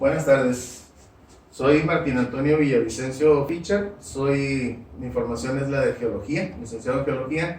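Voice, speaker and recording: Over noticeable background noise and audible room echo, a man with a fairly high pitch talks at a fairly slow pace with lively intonation. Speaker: school supervisor and master's student. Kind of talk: academic presentation. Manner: formal.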